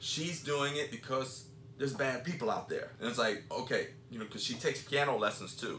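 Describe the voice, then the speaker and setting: Over noticeable background noise, a man talks at a fairly quick pace and medium pitch with fairly even intonation. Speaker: podcast co-host and jiu-jitsu school owner. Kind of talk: casual chat.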